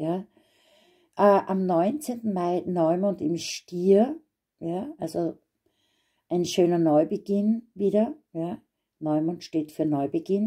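Her tone dark, mellow and warm, a woman speaks at a very slow pace with long, frequent pauses. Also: medium pitch for a woman, ordinary pitch variation, quiet background. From Austria. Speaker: astrologer; card reader. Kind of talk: astrology forecast monologue. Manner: warm, personal. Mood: gentle, encouraging. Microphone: phone near.

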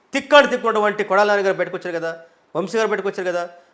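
Animated in tone, a man talks at a high pitch with ordinary pitch variation. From Andhra Pradesh, Prakasam district. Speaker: politician. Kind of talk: interview.

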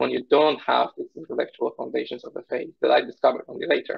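A man speaks with a Polish accent. The background is quiet. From Poland. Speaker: research scientist; interview guest. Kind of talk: interview conversation. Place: home room. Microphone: video call.

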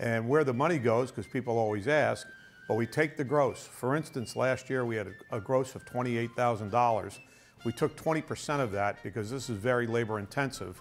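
Faint music plays in the background. A man speaks with ordinary pitch variation. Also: moderate pace. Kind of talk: interview explanation. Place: studio. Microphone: lapel.

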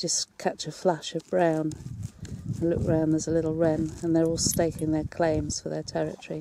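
A woman speaks in a fairly low pitch with a dark, mellow tone, the sound dry with no echo and light background noise behind her. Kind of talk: casual guided commentary. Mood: calm, appreciative. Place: open country. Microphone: phone near.

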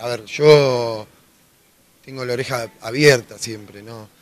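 The voice is raspy and gruff with a bright, sharp tone. It moves at a slow pace. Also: man.

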